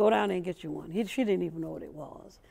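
A woman's voice has a dark, mellow tone and vocal fry. Her intonation is lively. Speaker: interviewee. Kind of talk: interview answer. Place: studio. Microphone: lapel.

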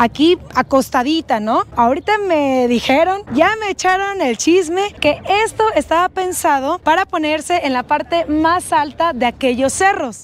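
Over light background noise, a woman speaks fairly slowly in an extremely high pitch. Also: lively intonation, dry sound with no echo. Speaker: travel vlogger. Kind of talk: casual travel vlog presentation. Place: street. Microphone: lapel.

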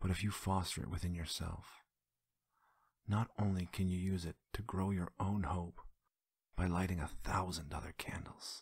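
A man whispers at a fairly slow pace. His voice is somewhat breathy, with a gentle, soothing tone. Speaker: ASMR creator. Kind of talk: whispered guided visualization exercise. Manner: slow, gentle, hushed instructions with soft repetitions; soothing, intimate second-person coaxing.

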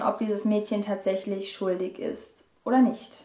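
A woman talks at a moderate pace. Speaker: book vlogger. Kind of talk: book review. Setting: home video recording.

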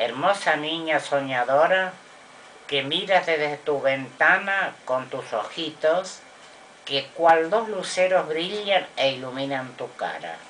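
Very slow speech from a woman with a very deep, low pitch and ordinary pitch variation, over light background noise. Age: old. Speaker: grandmother reciting poetry. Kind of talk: poetry reading. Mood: gentle, tender. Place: home room. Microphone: webcam.

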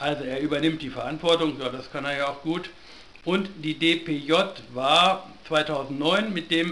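A man talks at a fairly high pitch and ordinary pitch variation while noticeable noise runs in the background. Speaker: video blogger and sociologist. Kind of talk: solo video commentary, partly reading newspaper aloud. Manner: unscripted, live and unedited.

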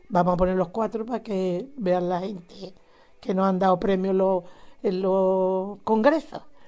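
A woman's dark, mellow tone at medium pitch with ordinary pitch variation. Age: 80s+. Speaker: retired teacher, nativity scene association president. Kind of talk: interview. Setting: at home.

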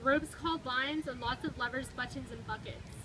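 Ordinary pitch variation with noticeable background noise. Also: woman. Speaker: storybook reader. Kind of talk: reading a children's picture book aloud. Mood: calm, earnest storytelling. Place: street. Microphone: camera far.

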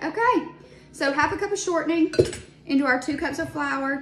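Audible room echo and faint background music, with speech at a moderate pace. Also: woman. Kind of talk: casual cooking tutorial. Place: kitchen. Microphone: phone near.

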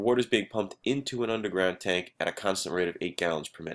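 Speaking fast at a fairly low pitch, a man has a fairly bright tone and ordinary pitch variation.

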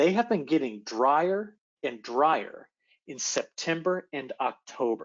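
Over a quiet background, a man with a fairly high pitch talks at a very slow pace, with lively intonation and big swings in loudness. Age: young. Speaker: atmospheric scientist; presenter. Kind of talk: presentation. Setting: video call. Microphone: video call.

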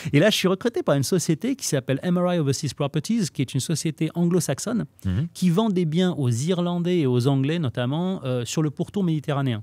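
The delivery moves at a fairly quick pace with hardly any pauses and lively intonation, the sound dry with no echo over a quiet background. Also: man, fairly high pitch for a man. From Lebanese family, raised in France. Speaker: real estate trainer. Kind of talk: casual interview chat. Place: studio. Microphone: studio mic.

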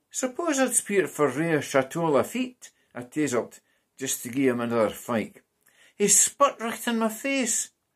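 A man with a Scottish accent talks at a fairly slow pace against a quiet background. His pitch is high and swings very widely. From Scotland. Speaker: translator and poetry reader. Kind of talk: reading aloud. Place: home room. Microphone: webcam.

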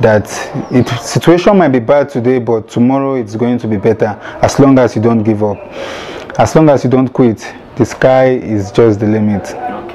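A medium-pitched man at a moderate pace with ordinary pitch variation, faint music in the background. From Nigeria, Lagos; Nigeria. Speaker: professional footballer. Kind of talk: interview. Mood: calm, upbeat. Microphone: lapel.

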